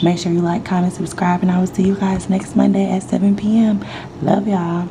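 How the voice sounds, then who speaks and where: Against noticeable background noise, a woman with a fairly low pitch speaks at a fairly quick pace in a monotone, flat intonation with very even loudness. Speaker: vlogger. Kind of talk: casual vlog.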